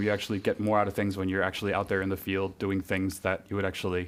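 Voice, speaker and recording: Here is a man with a New England accent. His pitch is fairly low. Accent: New England American. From US Northeast, Connecticut. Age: 30s. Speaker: university graduate. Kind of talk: podcast interview. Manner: hesitant, many fillers.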